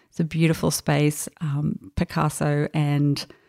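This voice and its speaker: A quiet woman's voice with an Australian accent. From Brisbane, Australia. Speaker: fashion illustrator. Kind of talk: casual interview. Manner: quiet, introverted.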